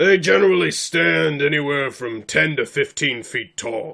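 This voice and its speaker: In a put-on character voice, a man speaks at a moderate pace, raspy and fairly high in pitch. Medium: actual play. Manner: formal, blunt.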